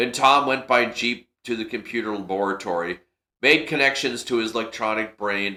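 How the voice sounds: This is a natural reading voice with ordinary pitch variation against a quiet background.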